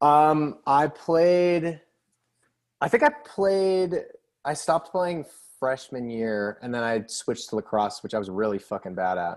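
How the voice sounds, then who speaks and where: A man's fairly high voice with very wide pitch swings, a fairly slow pace and an American accent against a quiet background. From Cape Cod, Massachusetts. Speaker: band member. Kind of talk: casual chat. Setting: video call.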